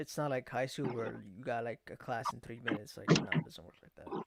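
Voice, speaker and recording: Speaking at a moderate pace, a man with an American accent uses a medium pitch, ordinary pitch variation and some vocal fry. The sound is dry and close, with no echo. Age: 20s. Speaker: podcast host and streamer. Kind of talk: casual chat.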